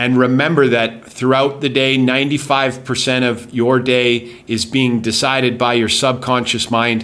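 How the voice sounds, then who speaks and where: A man speaks at medium pitch with a Canadian accent. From Calgary, Canada. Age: 40s. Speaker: motivational podcast host. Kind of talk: motivational monologue. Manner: animated.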